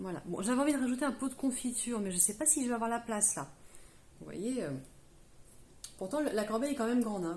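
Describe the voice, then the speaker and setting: Fairly high in pitch, a woman talks at a fairly quick pace with lively intonation and long, frequent pauses. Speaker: craft tutorial youtuber. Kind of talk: tutorial. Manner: hesitant, many fillers.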